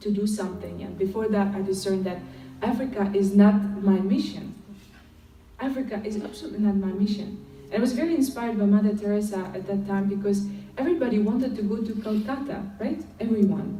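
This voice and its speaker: A woman at a fairly quick pace with fairly even intonation, amid noticeable background noise and audible room echo. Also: medium pitch for a woman. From Ukraine. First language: Ukrainian or Russian. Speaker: lay missionary speaker. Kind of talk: testimony. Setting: conference stage with audience. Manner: hesitant, many fillers.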